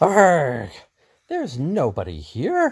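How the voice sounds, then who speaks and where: Using a put-on character voice, a man speaks at a fairly high pitch in a very clean recording with a silent background. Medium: read story. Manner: blunt, scornful.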